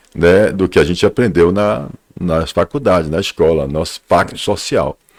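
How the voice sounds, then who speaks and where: A man's very deep, low voice at a fairly quick pace, with ordinary pitch variation and a dry, close sound with no echo. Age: 60s. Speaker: businessman and author. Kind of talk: talk show interview.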